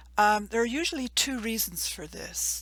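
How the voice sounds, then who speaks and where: Delivered at a moderate pace, the speech carries a slight English accent. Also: woman. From England. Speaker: university program coordinator. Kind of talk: informational presentation. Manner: measured, formal.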